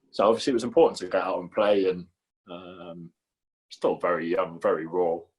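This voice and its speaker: Here a man talks with a Geordie accent. His pace is fairly quick. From northern England, Newcastle. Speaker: professional goalkeeper. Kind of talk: casual chat.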